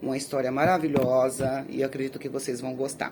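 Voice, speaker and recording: A woman with a very deep, low pitch at a moderate pace. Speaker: youtuber telling viewers' life stories. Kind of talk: casual address to viewers. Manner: halting, with repetitions.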